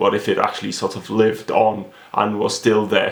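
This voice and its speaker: A man with a Welsh accent. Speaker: novelist. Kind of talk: author interview. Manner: hesitant, many fillers.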